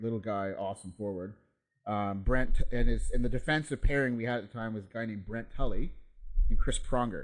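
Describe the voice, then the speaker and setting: Speaking in an Ontario accent, a man uses a medium pitch, ordinary pitch variation and a fairly quick pace. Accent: Canadian (Ontario). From Canada, Ontario (Peterborough / Kawarthas area). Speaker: former ice hockey player. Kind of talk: casual chat.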